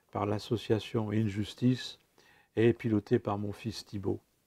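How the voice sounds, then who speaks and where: At a very slow pace, a man speaks in a dark, mellow tone. The sound is dry and close, with no echo. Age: 70s. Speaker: former prisoner telling his story. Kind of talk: personal testimony. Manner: halting, many hesitations.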